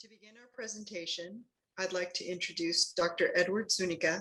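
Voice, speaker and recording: A woman speaks at a moderate pace and medium pitch, her tone bright and sharp and her intonation fairly even. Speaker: meeting moderator. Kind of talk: public meeting presentation.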